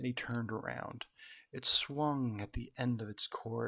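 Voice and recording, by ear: The text is read out in a natural-sounding voice.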